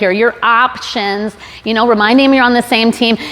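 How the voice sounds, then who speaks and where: Over noticeable background noise, a woman speaks fairly quickly in an animated tone and a fairly high voice. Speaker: sales trainer, conference speaker. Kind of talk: conference talk with audience questions. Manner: fast; conversational, animated.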